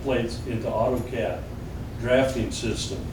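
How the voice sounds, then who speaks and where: Amid audible room echo and noticeable background noise, a man speaks slowly in a Southern US accent at a medium pitch, his pace fairly slow. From Arkansas, US South. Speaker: retired engineering designer giving a history talk. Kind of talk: public talk to a small audience. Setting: museum with live audience. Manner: casual, folksy.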